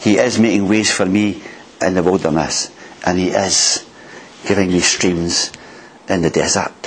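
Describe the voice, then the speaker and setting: Noticeable background noise sits behind a man with a Scottish accent. He speaks at a fairly slow pace, his pitch very deep and low and his intonation fairly even. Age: 60s. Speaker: preacher. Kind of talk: sermon. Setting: church.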